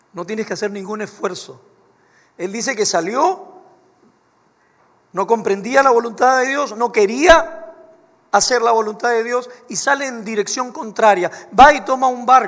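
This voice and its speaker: At an extremely high pitch, a man talks at a fairly slow pace with lively intonation and long, frequent pauses. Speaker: pastor. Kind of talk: sermon.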